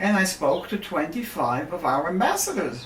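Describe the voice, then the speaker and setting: A woman speaks with audible room echo and noticeable background noise. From Germany. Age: 80s+. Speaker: Holocaust survivor. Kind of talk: interview. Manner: halting.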